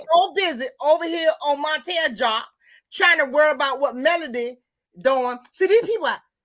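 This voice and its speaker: With lively intonation and an animated tone, a woman speaks at a moderate pace in a high pitch. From Mississippi, US South. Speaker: live stream host. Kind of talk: casual chat.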